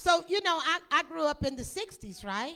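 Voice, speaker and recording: A woman in a Tennessee accent, with very wide pitch swings and a fairly slow pace. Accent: US Southern (Tennessee). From Middle Tennessee (Lynchburg). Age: 60s. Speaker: whiskey brand representative. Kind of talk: presentation at tasting event.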